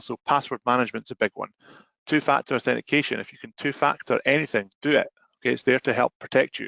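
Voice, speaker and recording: The speaker talks at a very fast pace in a Scottish accent, with a bright, sharp tone and vocal fry. The sound is dry and close, with no echo. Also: man, quiet background. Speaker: software sales presenter. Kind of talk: webinar presentation.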